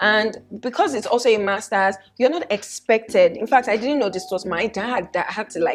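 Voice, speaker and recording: A woman with a Nigerian accent speaks at a fairly quick pace in an animated tone. Her pitch sits in the medium range, with ordinary variation. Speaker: fashion vlogger. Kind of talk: casual vlog talk.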